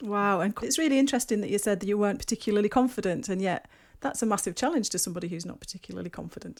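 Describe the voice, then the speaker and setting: A woman talks very fast with a northeast English accent. Her pitch is medium with ordinary variation, on a very clean recording with a silent background. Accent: north-east English. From north-east England, Durham. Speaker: podcast host. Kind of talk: interview conversation.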